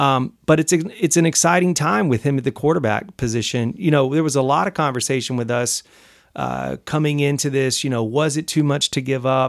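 Speaking with an American accent in an unremarkable speaking voice, the speaker moves at a fairly quick pace with ordinary pitch variation on a very clean recording with a silent background. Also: man, fairly high pitch for a man. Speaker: podcast host. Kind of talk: casual chat. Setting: studio.

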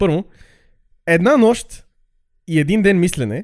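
A high-pitched man at a fairly slow pace, with lively intonation. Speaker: podcast host, history storyteller. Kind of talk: casual comedic storytelling.

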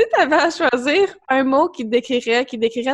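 This woman has a high pitch and lively intonation. She speaks at a fairly slow pace. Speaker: podcast host and wellness coach. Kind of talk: casual interview chat.

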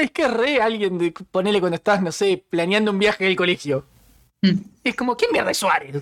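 This speaker talks at a moderate pace in a Rioplatense accent. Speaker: podcast co-host. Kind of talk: casual chat.

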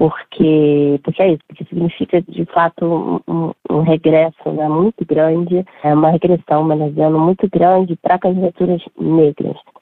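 Speaking at a moderate pace with hardly any pauses, a woman keeps a fairly low pitch and a monotone, flat intonation. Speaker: political scientist and coordinator. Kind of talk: interview answers, analysis.

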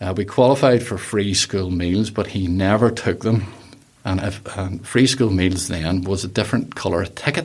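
A man's fairly low, somewhat breathy voice moves at a moderate pace, its pitch varying in an ordinary way. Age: middle-aged. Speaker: interviewee sharing life story. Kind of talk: casual interview chat.

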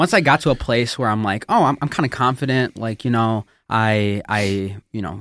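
A man speaks in an ordinary speaking voice at a moderate pace, with ordinary pitch variation. The sound is dry and close with no echo, in a very clean recording with a silent background. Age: 20s. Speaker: youth and young adult pastor. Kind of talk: casual chat, personal testimony.

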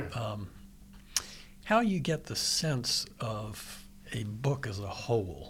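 A man speaks with an American accent at medium pitch. His voice is somewhat breathy. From Virginia. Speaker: radio host. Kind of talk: radio interview. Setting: radio studio.

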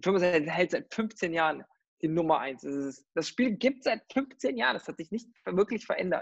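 The sound is dry and close, with no echo. A man speaks with lively intonation. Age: 30s. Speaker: recruitment company founder, gamer. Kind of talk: interview. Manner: halting, many fillers.

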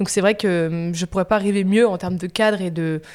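A woman with a plain, everyday voice, medium pitch, fairly even intonation and moderate pace on a very clean recording with a silent background. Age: 20s. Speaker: media entrepreneur. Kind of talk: casual interview.

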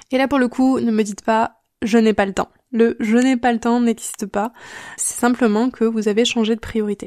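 Recorded with a dry, close sound and no echo, a woman speaks at a moderate pace in a fairly high pitch, her tone dark and mellow and her intonation monotone and flat. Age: 30s. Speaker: online drawing teacher and podcast host. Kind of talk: solo podcast advice talk.

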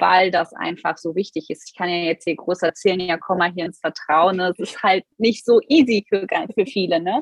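A normal speaking voice with ordinary pitch variation. It moves at a moderate pace with hardly any pauses. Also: woman, medium pitch for a woman. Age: 30s. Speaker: business coach. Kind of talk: interview.

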